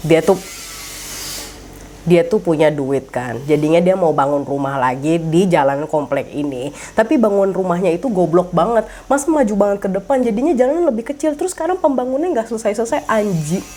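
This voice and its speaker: Noticeable background noise runs beneath a woman speaking at a medium pitch. She talks at a fairly quick pace, her pitch swinging very widely. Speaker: horror storyteller. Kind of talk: casual true-crime storytelling. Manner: code-switching Indonesian and English, casual Jakarta slang.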